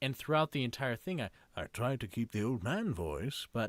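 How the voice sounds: Someone speaks in a natural reading voice.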